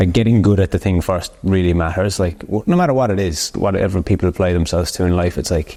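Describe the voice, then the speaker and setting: Very deep and low in pitch, a man speaks at a very fast pace with hardly any pauses, fairly even intonation, very even loudness and a dark, mellow tone. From Ireland, Cork. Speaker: podcast host, barber coach. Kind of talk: casual chat.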